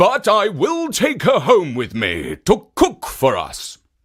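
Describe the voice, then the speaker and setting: A man puts on a high-pitched character voice at a fairly slow pace. The recording is very clean, with a silent background. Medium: read story.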